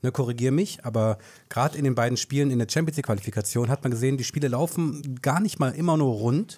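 A man talks at a very fast pace in a medium pitch, his tone dark and mellow and somewhat breathy, with ordinary pitch variation and very even loudness. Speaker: podcast host. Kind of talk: casual chat.

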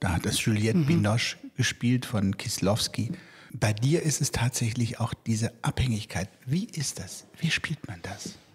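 This man has a medium-pitched, somewhat breathy voice. His intonation is lively and his pace fairly slow. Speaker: theatre director hosting podcast. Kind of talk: interview conversation.

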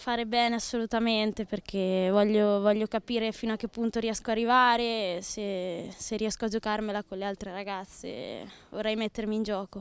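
A woman's fairly high voice, monotone and flat, at a moderate pace, with a dry sound and no echo. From Italy, Romagna (Forlì-Cesena); Romagna, Italy. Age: 20s. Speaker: footballer. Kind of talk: interview. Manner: halting, with repetitions. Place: garden. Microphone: handheld.

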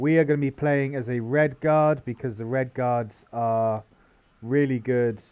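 Against a quiet background, a man with an ordinary speaking voice talks at a medium pitch, keeping his intonation fairly even. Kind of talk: let's play commentary. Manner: casual, rambling with fillers.

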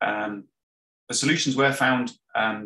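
There is audible room echo around this man's bright, sharp tone as he speaks with fairly even intonation. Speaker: marine robotics scientist. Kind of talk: conference presentation. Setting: video call. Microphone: webcam.

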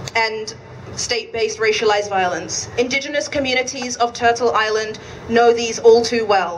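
At a moderate pace and with fairly even intonation, the voice comes through over light background noise. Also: woman, fairly high pitch for a woman. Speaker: event organizer and emcee. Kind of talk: rally speech. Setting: outdoor vigil with crowd. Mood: solemn, grieving, firm. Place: street.

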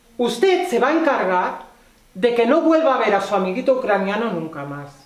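Audible room echo hangs on speech delivered at a fairly slow pace. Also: woman. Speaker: actress in a drama scene. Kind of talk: scripted dramatic dialogue. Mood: threatening, contemptuous. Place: stage.

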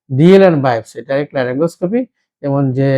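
A man speaks at a fairly high pitch in a dark, mellow tone with ordinary pitch variation. The sound is dry and close, with no echo. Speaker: ENT surgeon. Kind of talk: medical explainer during patient exam. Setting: doctor's chamber. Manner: halting.

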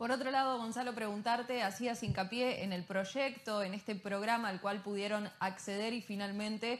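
A woman's unremarkable speaking voice at medium pitch, fairly quick in pace, with fairly even intonation. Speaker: news presenter. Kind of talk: news broadcast. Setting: studio. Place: studio.

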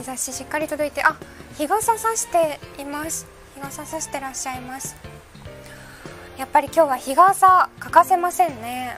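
A woman's high pitch and lively intonation at a moderate pace, broken by long, frequent pauses, with clear music in the background. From Hakata, Fukuoka. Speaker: weather presenter. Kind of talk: live weather broadcast commentary. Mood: light, amused, chatty. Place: studio.

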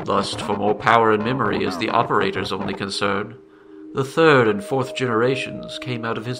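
An unforced reading voice carries the clip.

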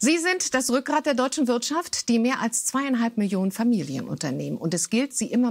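Her pitch swings very widely as the woman talks with hardly any pauses. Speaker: news presenter. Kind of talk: news reading. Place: studio. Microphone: lapel.

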